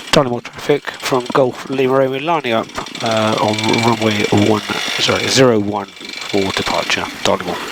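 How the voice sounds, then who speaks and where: A man's medium-pitched voice, fairly even in intonation, proceeds at a moderate pace against noticeable background noise. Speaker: microlight pilot and video creator. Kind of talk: casual vlog narration. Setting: outdoors at an airfield; radio calls over aircraft radio.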